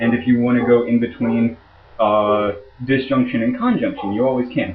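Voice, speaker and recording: With audible room echo, a man at medium pitch speaks in a monotone, flat intonation. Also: moderate pace. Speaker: logic instructor. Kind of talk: lecture. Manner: halting.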